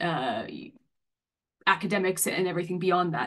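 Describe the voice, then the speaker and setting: A woman talks at a fairly quick pace in a normal speaking voice with an American accent. Her pitch is medium. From US, Massachusetts. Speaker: senior academic. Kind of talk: online talk, introducing career. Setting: online video event.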